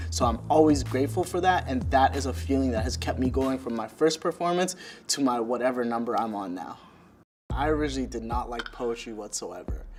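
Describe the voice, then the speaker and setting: With music in the background, a man of medium pitch speaks fairly quickly in a Toronto accent, his pitch swinging very widely. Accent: Toronto, keeps local way of speaking. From Toronto, Scarborough (East End). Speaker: spoken word poet. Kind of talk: interview talk.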